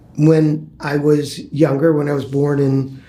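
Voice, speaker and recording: A man with an American accent speaks at a fairly high pitch for a man, his intonation fairly even, with audible room echo. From Chicago, US Midwest. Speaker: former public housing resident, interviewee. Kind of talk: oral history interview. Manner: halting, many fillers.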